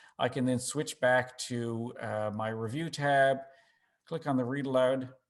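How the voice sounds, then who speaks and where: A man speaks with a Newfoundland accent. His pitch is medium. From Newfoundland, Canada. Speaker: assistive technology presenter. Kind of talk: webinar tutorial. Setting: online webinar.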